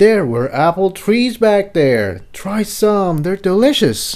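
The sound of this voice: A man's put-on character voice, high-pitched with big pitch swings, a slightly mellow tone and a slow pace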